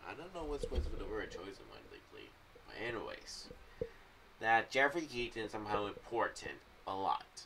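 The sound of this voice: His fairly low voice carries big pitch swings, a bright, sharp tone and vocal fry, and this man talks at a moderate pace.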